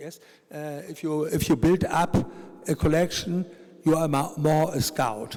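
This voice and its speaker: Speaking slowly with fairly even intonation, a man with a German accent has a fairly high pitch. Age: 70s. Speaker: art collector. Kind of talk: panel discussion. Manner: halting.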